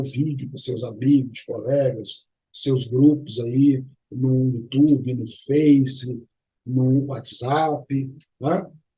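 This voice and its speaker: A man is speaking. His voice is somewhat breathy and fairly high-pitched. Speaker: arbitration and mediation YouTuber. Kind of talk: educational vlog. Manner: casual, conversational.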